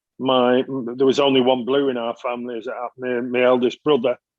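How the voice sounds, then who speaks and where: A man with a Mancunian accent speaks at a fairly quick pace. His intonation is monotone and flat. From Manchester, northern England. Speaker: interview guest. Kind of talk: podcast interview. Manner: hesitant, many fillers and repeats.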